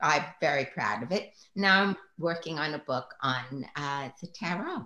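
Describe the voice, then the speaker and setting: Speaking at a fairly slow pace, a woman has a very deep, low pitch. Her tone is bright and sharp, and her intonation is lively. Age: 70s. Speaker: psychotherapist and tarot teacher. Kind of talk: interview. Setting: live online stream.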